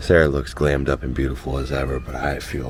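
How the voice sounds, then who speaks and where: A man with a very deep, low pitch talks at a fairly quick pace. Room echo and noticeable background noise are audible. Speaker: travel vlogger. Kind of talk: casual vlog narration. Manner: animated.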